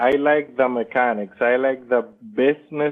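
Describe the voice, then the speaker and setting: A man speaks with a non-native accent at a medium pitch. His pitch varies in an ordinary way. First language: not English. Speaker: Amazon seller. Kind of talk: interview. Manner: halting.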